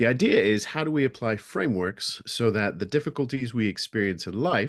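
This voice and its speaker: Medium-pitched man with an American accent, lively intonation, a fairly quick pace, and a quiet background. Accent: American, learned over natural British. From England and US (Las Vegas, Nevada). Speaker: speaker on resilience. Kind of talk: webinar talk.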